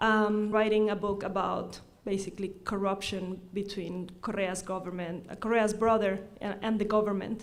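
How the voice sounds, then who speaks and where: A woman with an Ecuadorian accent talks at a moderate pace and medium pitch. Her intonation stays monotone and flat, and the room echo is audible. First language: Spanish. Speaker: law professor. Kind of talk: conference talk. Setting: forum with audience. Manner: halting, frequent self-corrections.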